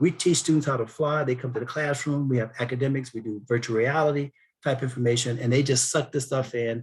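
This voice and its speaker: A man's somewhat breathy, fairly high-pitched voice at a fairly quick pace. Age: 60s. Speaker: aerospace defense industry speaker, former Air Force officer. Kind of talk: webinar Q&A.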